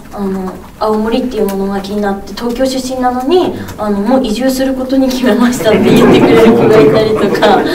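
A speaker with a Tsugaru accent is heard over noticeable background noise. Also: woman, fairly quick pace. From Aomori, Japan. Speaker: TV personality. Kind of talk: press event interview answer. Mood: cheerful, warm. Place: meeting room.

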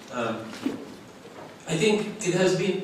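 Strong room echo and light background noise surround a man talking at a fairly slow pace. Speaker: keynote conference speaker. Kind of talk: lecture. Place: hall.

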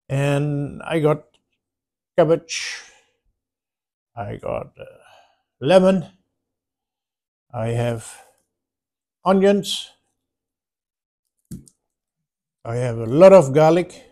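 Dark, mellow tone with lively intonation and big swings in loudness, at a very slow pace with long, frequent pauses, over a quiet background. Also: man. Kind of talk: casual vlog chat. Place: home room. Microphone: phone near.

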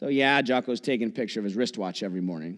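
The background stays quiet while a man talks. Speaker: pastor. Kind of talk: sermon. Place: church.

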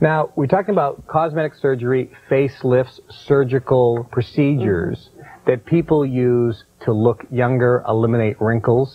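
The man keeps a moderate pace with hardly any pauses. His pitch shows ordinary variation. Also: medium pitch for a man. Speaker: infomercial host. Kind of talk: infomercial interview host. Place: studio. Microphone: lapel.

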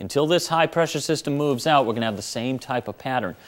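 The man's pitch varies in an ordinary way as he speaks. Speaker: TV meteorologist. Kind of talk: local TV weather forecast, reading temperatures and fog advisories off a map. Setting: TV studio. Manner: steady, friendly newsroom delivery, brisk run through town-by-town numbers; calmly cautionary, adds gentle safety reminders to viewers. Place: studio.

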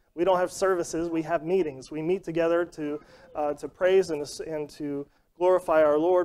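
A man with a high pitch talks at a fairly quick pace in a monotone, flat intonation. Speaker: Sunday school teacher. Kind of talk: sermon-like lesson. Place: church.

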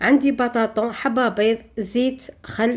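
Her intonation stays fairly level. The voice belongs to a woman. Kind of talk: tutorial. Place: kitchen.

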